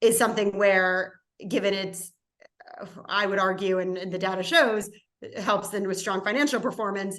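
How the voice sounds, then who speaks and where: Here is an ordinary speaking voice from a woman with an American accent. She talks at a moderate pace and medium pitch. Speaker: impact investing panelist. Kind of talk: webinar panel discussion.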